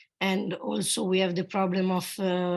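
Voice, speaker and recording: A female speaker with a medium pitch talks at a fairly slow pace. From Italy. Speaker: conference participant. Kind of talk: conference discussion.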